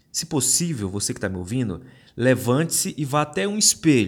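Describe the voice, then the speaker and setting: On a very clean recording with a silent background, a man speaks in a somewhat breathy voice with very wide pitch swings. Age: 30s. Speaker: podcast host. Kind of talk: solo podcast monologue. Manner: casual.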